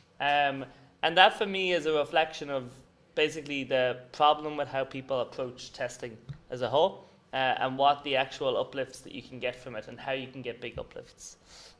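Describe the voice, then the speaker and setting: This man has an Irish accent and a fairly high pitch with ordinary variation. He talks at a fairly quick pace, with big swings in loudness. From Ireland. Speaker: conference speaker, paid search agency founder. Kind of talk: conference presentation. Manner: casual, filler-heavy.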